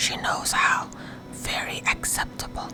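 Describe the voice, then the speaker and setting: Whispering by a woman, with noticeable noise in the background. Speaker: narrator. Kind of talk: audiobook reading, sleep story. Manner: whispered.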